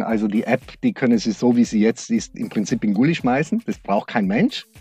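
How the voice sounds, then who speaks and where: With music in the background and a dry, close sound with no echo, a man speaks at a moderate pace with lively intonation. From South Tyrol (Brixen), Italy. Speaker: regional tourism executive. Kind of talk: interview. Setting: converted freight-elevator sound studio.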